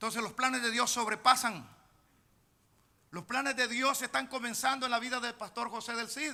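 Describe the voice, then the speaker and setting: A man projects his voice in a bright, sharp tone at an extremely high pitch, keeping fairly even intonation and a moderate pace with long, frequent pauses. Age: 60s. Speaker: pastor. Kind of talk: sermon.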